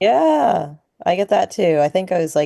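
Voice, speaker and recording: Dry and close with no echo, a woman's voice with an American accent and a dark, mellow tone moves at a moderate pace. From Boston area, US. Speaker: chef and restaurant owner. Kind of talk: casual interview chat.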